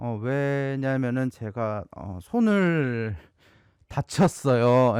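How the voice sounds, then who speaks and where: The recording of a man with a Gyeongsang accent is dry and close, with no echo. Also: very clean recording, silent background. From South Korea, Gyeongsang region. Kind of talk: casual storytelling to camera.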